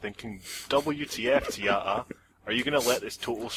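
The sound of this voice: What we hear is an unforced reading voice.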